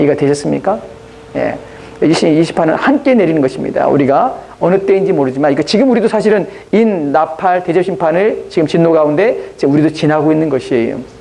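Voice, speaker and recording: Very fast and with lively intonation, a man talks at a high pitch amid noticeable background noise and audible room echo. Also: very even loudness. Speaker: pastor. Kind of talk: sermon.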